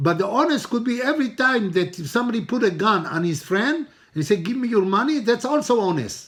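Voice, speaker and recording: Lively in intonation, a man speaks with high pitch at a fairly quick pace. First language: Hebrew. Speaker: rabbi teaching a Torah class. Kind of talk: religious lecture.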